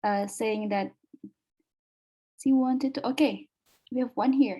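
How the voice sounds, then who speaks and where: A woman with an Indonesian accent speaks in a dark, mellow tone at a high pitch with ordinary pitch variation. Her pace is fairly slow, broken by long, frequent pauses. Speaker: webinar moderator. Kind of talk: webinar moderation. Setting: video call.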